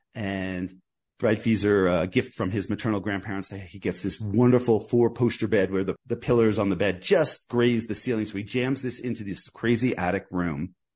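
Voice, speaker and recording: In a quiet background, a man speaks in a plain, everyday voice with a fairly low pitch, a moderate pace and fairly even intonation. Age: 50s. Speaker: author and journalist. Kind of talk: interview.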